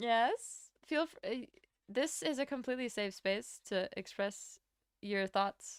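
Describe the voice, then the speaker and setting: Speaking very slowly with an American accent, a woman uses a fairly high pitch, lively intonation and big swings in loudness. The sound is dry and close with no echo, in a very clean recording with a silent background. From Latvia. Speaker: streamer. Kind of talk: casual chat. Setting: live stream. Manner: animated.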